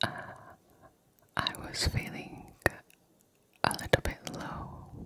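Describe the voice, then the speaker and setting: A woman whispers in a soft-spoken voice at a very slow pace. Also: dry sound with no echo. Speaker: ASMR creator. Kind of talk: soft ASMR affirmation talk. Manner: soft close-up ASMR whisper. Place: home room. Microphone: studio mic.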